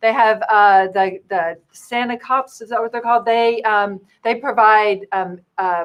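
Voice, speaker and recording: Her fairly high voice moves at a fairly slow pace with hardly any pauses. The woman's intonation stays fairly even. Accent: Louisiana. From Louisiana. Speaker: clown and children's entertainer. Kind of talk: casual chat.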